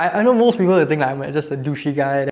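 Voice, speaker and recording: Noticeable background noise behind a man with a fairly high pitch. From Singapore. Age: 20s. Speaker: dating show contestant. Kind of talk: casual chat.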